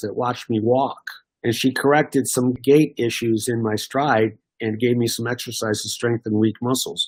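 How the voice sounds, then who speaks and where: A man talks at a moderate pace with fairly even intonation and a medium pitch. It is a plain, everyday voice. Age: 60s. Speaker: former elite runner. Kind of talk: interview, telling life stories.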